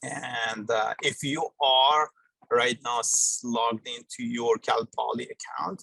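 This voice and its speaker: A man at a very slow pace, in dry, close sound with no echo. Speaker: university lecturer running a GIS workshop. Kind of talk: live software tutorial. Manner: hesitant, many fillers.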